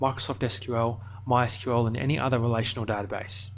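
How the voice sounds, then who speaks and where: A man with a medium pitch speaks in an Australian accent with a somewhat breathy voice. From Australia, Melbourne. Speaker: online course instructor. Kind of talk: tutorial.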